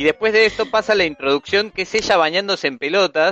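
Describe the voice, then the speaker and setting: A man with a Rioplatense accent, fairly quick delivery, bright and sharp tone, dry close sound without echo, and a quiet background. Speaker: podcast panelist. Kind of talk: casual chat.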